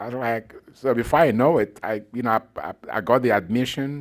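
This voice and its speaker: A man speaks with a Nigerian accent at a medium pitch. His pace is moderate and his pitch variation ordinary. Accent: Nigerian accent, noticeable. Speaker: professor. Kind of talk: talk to an audience, personal story. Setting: evening talk with live audience.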